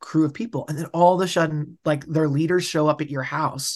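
A man talks at a moderate pace with an American accent. His pitch is high, and the background is quiet. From US West, suburbs of Denver. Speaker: youth pastor. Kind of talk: casual chat. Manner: halting, many fillers.

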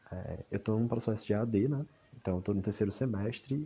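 A man with a plain, everyday voice, fairly low in pitch, with ordinary pitch variation. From Ceará, Brazil. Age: 20s. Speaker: university student. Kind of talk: personal audio diary monologue. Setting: at home in a hammock at night.

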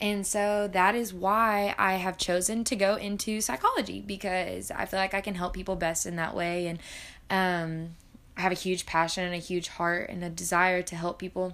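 Someone with a Southern US accent speaks at a moderate pace with fairly even intonation. The recording is very clean, with a silent background. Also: woman, medium pitch for a woman. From US South, Arkansas. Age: 20s. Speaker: college student podcaster. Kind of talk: casual monologue. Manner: hesitant, many fillers.

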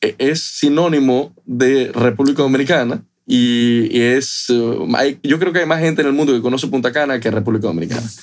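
A man speaks at a medium pitch. His pitch moves in an ordinary way. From Ecuador, Guayaquil. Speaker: rum company executive. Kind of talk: casual interview.

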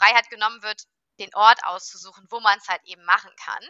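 A woman's unremarkable speaking voice, fairly high-pitched with ordinary pitch variation, at a fairly quick pace. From Rhineland, Germany (Cologne). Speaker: workation compliance startup founder. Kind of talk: interview. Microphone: unstable internet connection.

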